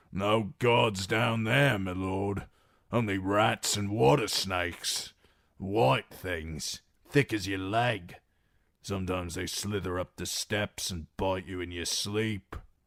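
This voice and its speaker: A man does a raspy, put-on character voice at a fairly low pitch, speaking at a fairly slow pace with ordinary pitch variation. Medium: read story. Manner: rough, simple speech.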